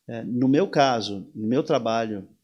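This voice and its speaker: A man's medium-pitched voice, with ordinary pitch variation, comes through over a quiet background. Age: 60s. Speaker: surf instructor. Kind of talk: interview conversation. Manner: animated; halting with repetitions.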